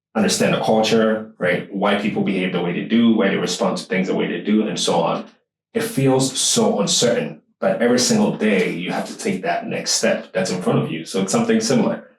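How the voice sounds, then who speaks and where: Amid audible room echo, a man talks at a fairly quick pace with hardly any pauses. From Ghana. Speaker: podcast host. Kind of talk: casual interview chat.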